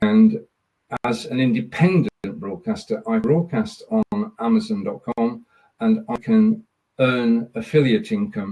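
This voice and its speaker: In a Lancashire accent, a man speaks with a dark, mellow tone, a somewhat breathy quality, and very wide pitch swings. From northern England, Burnley, Lancashire. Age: 70s. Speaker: live streamer. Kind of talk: podcast interview.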